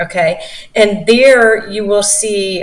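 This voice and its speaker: A woman at medium pitch with ordinary pitch variation, over noticeable background noise. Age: 50s. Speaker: investment company founder. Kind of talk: interview. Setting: video call.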